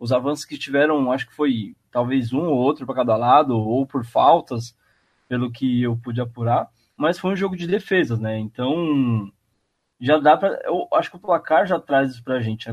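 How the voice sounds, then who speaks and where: Fairly high male speech at a moderate pace, its pitch variation ordinary. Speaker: podcast host. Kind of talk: casual sports chat.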